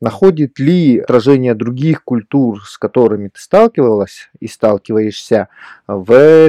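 A man speaks at a fairly slow pace with medium pitch, ordinary pitch variation and a dark, mellow tone, recorded with a dry, close sound and no echo. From Yakutia, Russia. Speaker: podcast host. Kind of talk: casual chat.

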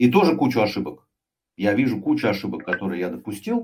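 A man talks with vocal fry. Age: 50s. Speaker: sales executive and author. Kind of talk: interview.

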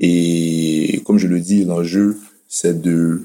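A man speaks in a very deep, low pitch with a dark, mellow tone. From Côte d'Ivoire. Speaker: cardiologist. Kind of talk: interview.

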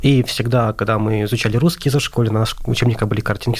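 A man talking very fast at a medium pitch, with noticeable background noise. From Azerbaijan. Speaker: translation student. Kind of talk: radio interview.

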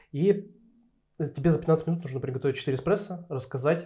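A man with a dark, mellow tone speaks somewhat breathily at a fairly quick pace. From Urals, Russia. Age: 30s. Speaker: head barista. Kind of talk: interview. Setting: studio.

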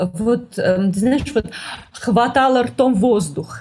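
A woman with a high voice speaks very slowly on a very clean recording with a silent background. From Moscow, Russia. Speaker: art historian. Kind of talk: interview. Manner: hesitant, many fillers.

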